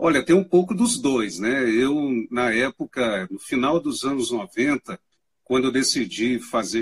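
A man talks in an ordinary speaking voice at a medium pitch and fairly slow pace. His intonation is lively, and the sound is dry and close with no echo. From eastern Minas Gerais, Brazil. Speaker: university lecturer and mobile photographer. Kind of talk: live-stream interview. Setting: live stream call. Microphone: audio feedback issues with headphones.

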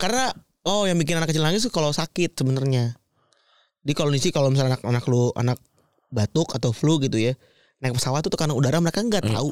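Here a man with a fairly high pitch talks at a very fast pace with lively intonation. The sound is dry and close with no echo, and the loudness stays very even. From Tambun, Bekasi (West Java, near Jakarta). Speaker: podcast co-host. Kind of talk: casual chat.

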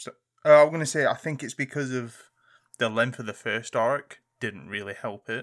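Speaking with a British accent, a man at medium pitch and moderate pace shows ordinary pitch variation and big swings in loudness on a very clean recording with a silent background. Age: 20s. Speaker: podcast co-host. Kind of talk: casual chat.

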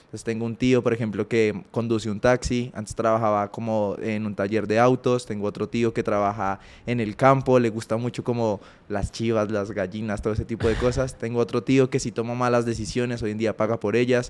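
Music in the background behind a man's medium-pitched, monotone, flat delivery at a fairly quick pace with hardly any pauses. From Colombia, Ibagué. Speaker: former athlete, entrepreneur. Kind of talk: interview conversation.

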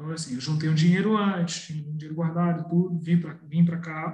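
Audible room echo around a man's high voice, fairly even intonation, moderate pace. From Brazil, Petrópolis (Rio de Janeiro state). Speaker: journalist and historian. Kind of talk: interview. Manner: halting, with frequent repetitions.

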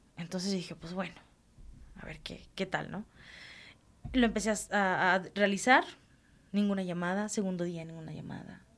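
A woman at medium pitch speaks at a moderate pace with fairly even intonation and big swings in loudness, leaving long, frequent pauses. The recording is very clean, with a silent background. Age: 40s. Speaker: children's radio presenter. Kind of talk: casual interview. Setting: studio.

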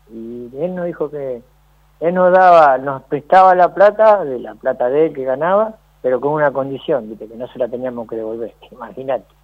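Speaking with a Rioplatense accent, a man talks at a moderate pace in a fairly high pitch. His loudness swings widely. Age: 60s. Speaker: former footballer. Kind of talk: interview.

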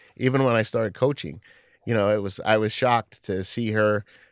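A man with a New York accent speaks at a fairly quick pace and a fairly low pitch, with ordinary pitch variation. The sound is dry and close with no echo, on a very clean recording with a silent background. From Queens, New York. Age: 50s. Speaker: sports club communications executive. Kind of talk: interview.

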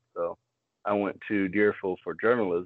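This man has an unremarkable speaking voice, pitched fairly low. His intonation stays fairly even at a moderate pace. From South Florida. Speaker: podcast guest, student. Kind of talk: casual chat.

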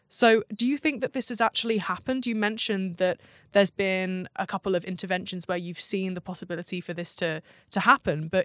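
In a southern English accent, a woman talks at a very fast pace with medium pitch and ordinary pitch variation, recorded very cleanly against a silent background with a dry, close sound and no echo. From southern England, Southampton. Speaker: podcast host, design researcher. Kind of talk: interview. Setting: office.

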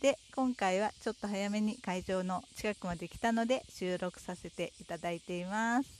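A woman's medium-pitched voice at a moderate pace, with ordinary pitch variation and hardly any pauses. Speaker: podcaster living with stage 4 cancer. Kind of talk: casual solo talk while walking. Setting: outdoors on a riverside path.

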